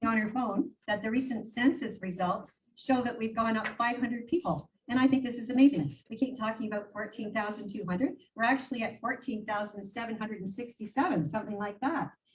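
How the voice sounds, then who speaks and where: Somewhat breathy and fairly high in pitch, a woman talks at a fairly quick pace with hardly any pauses and ordinary pitch variation. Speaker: mayor. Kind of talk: council meeting presentation. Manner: hesitant, with fillers.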